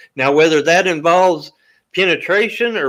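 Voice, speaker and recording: A loud man speaks at high pitch. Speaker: guest. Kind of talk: heated debate. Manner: loud, talking over others.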